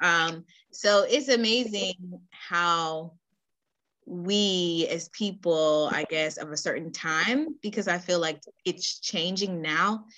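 A woman speaks at a very slow pace. Her voice sits fairly low in pitch, with ordinary pitch variation. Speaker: podcast host. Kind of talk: casual interview chat. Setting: podcast recording.

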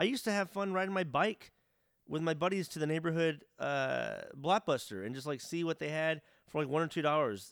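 An unremarkable speaking voice, this man talks fairly quickly at a fairly high pitch with lively intonation, on a very clean recording with a silent background. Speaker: gaming podcast co-host. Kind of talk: casual chat. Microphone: good audio quality.

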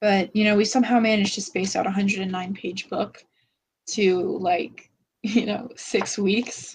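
A woman speaks at a moderate pace and medium pitch. Her voice is somewhat breathy, with fairly even intonation. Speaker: book discussion podcaster. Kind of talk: casual chat. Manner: halting.

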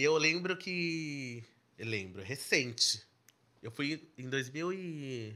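A man speaks at a very slow pace with a fairly high pitch and a bright, sharp tone. His intonation is lively, and his loudness swings widely. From São Paulo, Zona Leste (Brazil). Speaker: singer-songwriter. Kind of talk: podcast interview.

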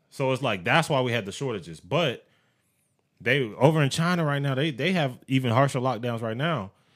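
Fairly quick delivery from a man, medium in pitch, his pitch moving in a normal way. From US military family. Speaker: podcast co-host. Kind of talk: casual chat.

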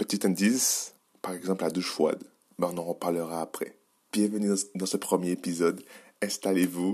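Recorded very cleanly with a silent background, a man speaks at a moderate pace in a very deep, low pitch, with a dark, mellow tone, monotone, flat intonation, and long, frequent pauses. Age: 20s. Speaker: podcast host on biohacking and nutrition. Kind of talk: solo podcast monologue. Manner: halting, with repetitions and fillers.

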